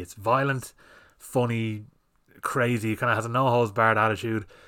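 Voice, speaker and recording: A man talks at a fairly quick pace with a bright, sharp tone. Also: very clean recording, silent background. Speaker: film podcast host. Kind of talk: casual solo monologue. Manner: rambling, heavy swearing.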